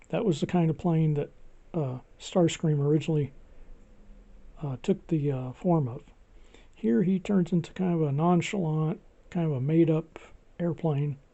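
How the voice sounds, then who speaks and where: A quiet voice at a moderate pace with long, frequent pauses. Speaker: toy collector video host. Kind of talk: casual tutorial walkthrough. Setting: home video recording with gimbal. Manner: quiet, low volume; restrained, not boisterous.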